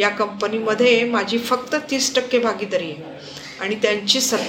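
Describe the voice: This plain reading aloud keeps its intonation fairly even.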